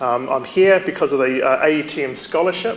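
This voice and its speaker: Over noticeable background noise, a man with a New Zealand accent talks at a fairly quick pace in a fairly high voice with ordinary pitch variation. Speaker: university staff member, conference speaker. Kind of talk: conference presentation. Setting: stage with audience.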